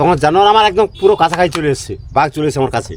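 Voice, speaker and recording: A male voice with noticeable background noise. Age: 60s. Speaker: crab fisherman. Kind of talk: interview. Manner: halting.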